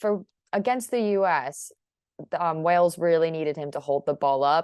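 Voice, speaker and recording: A woman with a fairly low pitch uses an ordinary speaking voice and moves at a moderate pace. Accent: American. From United States. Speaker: football journalist. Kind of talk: interview.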